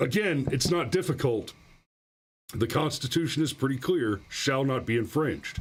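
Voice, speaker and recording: A man talks at a moderate pace and a fairly high pitch, somewhat breathy. His intonation is lively and his loudness very even. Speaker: livestream host commenting on gun news. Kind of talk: live stream commentary reading chat and articles. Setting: live stream with chat. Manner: sarcastic, mocking.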